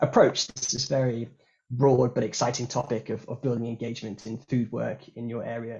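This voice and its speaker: A man speaks at a very fast pace. His voice is somewhat breathy. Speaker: workshop facilitator. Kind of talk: online workshop facilitation. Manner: hesitant, many fillers and repeats.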